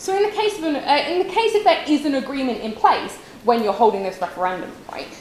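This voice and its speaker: Over noticeable background noise and audible room echo, a woman talks at a very fast pace, her high pitch making very wide swings. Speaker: university debater. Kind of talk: competitive debate speech.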